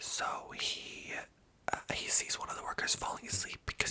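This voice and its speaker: Someone whispers in a relaxed tone at a moderate pace. Noticeable background noise sits behind the voice. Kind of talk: ASMR whisper ramble. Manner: soft whispering, relaxed, rambling.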